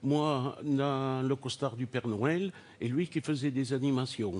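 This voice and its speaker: The speaker has a Toulouse accent and a very slow pace, with ordinary pitch variation. The background is quiet. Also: man. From Toulouse, southern France. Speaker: game show contestant, childcare nurse. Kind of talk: game show interview.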